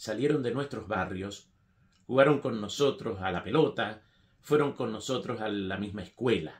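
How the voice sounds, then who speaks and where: A man talks at medium pitch and a fairly slow pace, somewhat breathy, with ordinary pitch variation. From Argentina, Mendoza; Argentina. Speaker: writer; political commentator. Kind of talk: political opinion monologue. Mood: critical, earnest. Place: home room.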